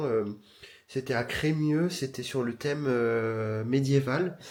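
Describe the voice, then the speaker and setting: A man talks at a very slow pace. His pitch moves with ordinary variation. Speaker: vlogger. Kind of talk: casual talk to camera.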